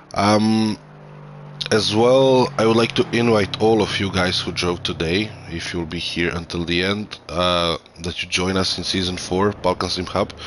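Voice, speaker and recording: A man with a Croatian accent speaks at a fairly slow pace. His pitch is very deep and low. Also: ordinary pitch variation. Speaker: sim racing commentator. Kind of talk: live commentary. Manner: halting; animated.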